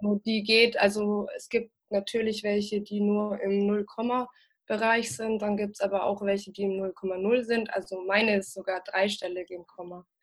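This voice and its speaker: A woman's medium-pitched voice, an unremarkable speaking voice, at a moderate pace with fairly even intonation. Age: 20s. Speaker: cannabis patient and activist. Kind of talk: interview.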